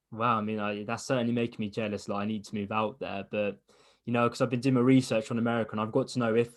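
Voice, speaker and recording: A man with an English accent speaks at a very fast pace. His intonation is fairly even, over a quiet background. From England. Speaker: interviewer, fight podcast host. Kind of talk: interview.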